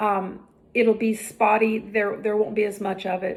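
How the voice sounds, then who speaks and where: A woman's fairly high voice at a moderate pace, an ordinary speaking voice. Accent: American. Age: 60s. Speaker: health and fitness vlogger. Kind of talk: direct-to-camera vlog monologue.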